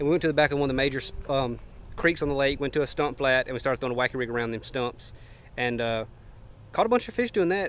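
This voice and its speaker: A man at a very fast pace, with ordinary pitch variation and a dry sound with no echo. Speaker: fishing vlogger. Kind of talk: casual vlog chat. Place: garden. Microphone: phone near.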